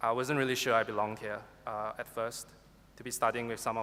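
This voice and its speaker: A man with a Singaporean accent speaks at a fairly quick pace in a flat monotone, his tone bright and sharp. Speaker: university graduate. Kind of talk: valedictory speech. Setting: graduation ceremony hall with audience. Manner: formal.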